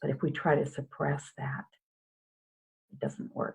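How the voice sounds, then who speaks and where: A woman speaks with a very deep, low pitch and vocal fry. Her pace is moderate. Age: 60s. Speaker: hypnotherapist. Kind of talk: interview.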